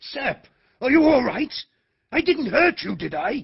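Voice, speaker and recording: The voice is a put-on character voice. It sits at a high pitch and keeps a moderate pace. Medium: audio drama.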